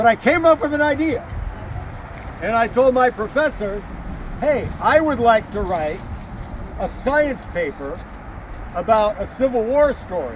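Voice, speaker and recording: Loud and extremely high-pitched, a man talks at a fairly slow pace with lively intonation and long, frequent pauses over noticeable background noise. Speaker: historian and battlefield tour guide. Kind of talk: outdoor guided tour talk. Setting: outdoors.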